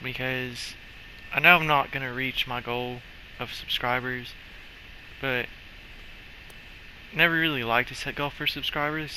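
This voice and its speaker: Noticeable background noise sits behind a man's medium-pitched voice. He speaks at a moderate pace with fairly even intonation. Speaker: gaming YouTuber. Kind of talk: gameplay commentary. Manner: casual rambling; stuttering at times.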